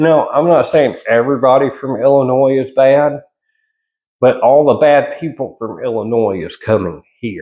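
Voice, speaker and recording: A man with a Southern US accent speaks at a medium pitch. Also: ordinary pitch variation, moderate pace. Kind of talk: casual monologue vlog. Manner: casual, halting with repetitions.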